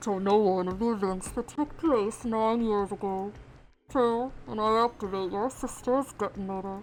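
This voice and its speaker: A female-sounding put-on character voice at medium pitch and a moderate pace. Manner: menacing, ominous.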